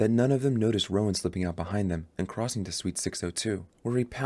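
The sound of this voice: The clip uses an unforced reading voice with ordinary pitch variation.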